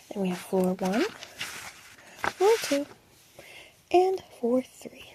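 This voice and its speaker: A soft-spoken woman's high voice, calm in tone, with very wide pitch swings, a dry, close sound with no echo, and noticeable background noise. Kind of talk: ASMR roleplay explaining museum maps. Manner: soft-spoken, calm.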